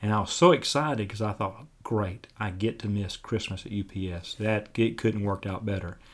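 A man's fairly low voice with an Alabama accent, on a very clean recording with a silent background. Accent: Southern US (Alabama). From US South, Dothan, Alabama. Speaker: pastor. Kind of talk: interview. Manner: halting, many fillers.

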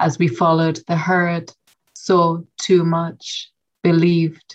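A woman's fairly low voice with a western Irish accent. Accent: Irish, west of Ireland lilt. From west of Ireland. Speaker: poet. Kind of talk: poetry reading and interview.

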